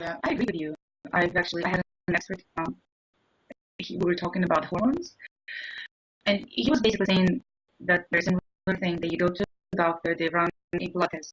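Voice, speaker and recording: A woman with a slight non-native accent speaks at a very fast pace and fairly low pitch, with ordinary pitch variation and long, frequent pauses. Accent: slight foreign. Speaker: interview show host. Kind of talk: interview.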